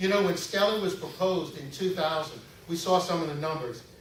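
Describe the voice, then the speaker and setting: At a fairly quick pace, a man with an American accent keeps his intonation fairly even. Room echo is audible, and background noise is noticeable. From Louisiana, Metairie. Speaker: political candidate. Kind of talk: campaign speech. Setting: stage with audience. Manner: halting, frequent fillers.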